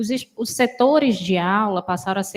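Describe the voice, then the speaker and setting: Her voice sits fairly high and carries a somewhat breathy quality. The woman's pitch rises and falls in an ordinary way. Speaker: university council member. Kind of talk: council meeting remarks. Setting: meeting room with microphone. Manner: soft-spoken.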